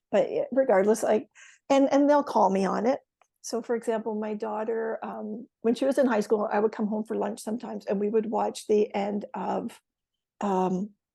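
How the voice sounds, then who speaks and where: With a Canadian accent, a woman speaks at a moderate pace in a fairly high pitch, her dark, mellow tone showing vocal fry and fairly even intonation. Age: 60s. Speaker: retired educator. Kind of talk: casual chat. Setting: podcast.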